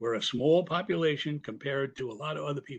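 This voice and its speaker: Against a quiet background, a man with a fairly high pitch speaks at a moderate pace in a somewhat breathy voice. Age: 80s+. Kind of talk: public comment at meeting. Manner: halting, many repetitions.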